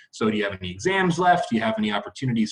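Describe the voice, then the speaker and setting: A man talks at a very fast pace in a fairly high, somewhat breathy voice with very wide pitch swings. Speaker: university academic advisor. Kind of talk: informational video talk to students. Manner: casual, conversational.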